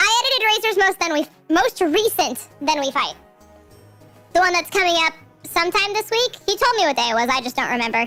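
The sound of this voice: A put-on character voice at an extremely high pitch moves at a fairly quick pace over faint background music.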